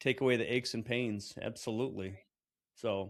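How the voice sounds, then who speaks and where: A man talks in a plain, everyday voice at a medium pitch and moderate pace with fairly even intonation. The recording is very clean with a silent background. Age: 50s. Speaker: podcast host. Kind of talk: casual chat.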